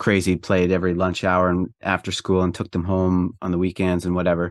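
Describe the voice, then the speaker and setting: With a Canadian accent, a man with a very deep, low pitch talks at a fairly quick pace in a dry, close sound with no echo, on a very clean recording with a silent background. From Prince Edward Island, Eastern Canada. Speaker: rock drummer and fitness coach. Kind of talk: casual interview chat. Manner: halting, many fillers.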